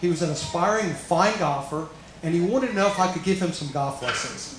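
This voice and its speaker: With lively intonation, a man speaks at a very fast pace in a high voice for a man, over noticeable background noise and audible room echo. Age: 60s. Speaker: golf professional. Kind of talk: commencement speech. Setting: graduation ceremony hall with audience.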